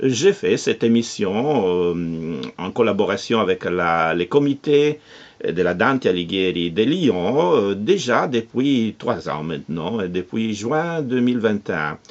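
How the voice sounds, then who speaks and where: A man with an Italian accent speaks in a fairly low pitch at a very slow pace. His pitch swings very widely against a quiet background. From Italy, Nettuno near Rome. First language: Italian (speaking French). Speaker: radio producer and cultural association president. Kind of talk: interview. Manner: halting, many hesitations.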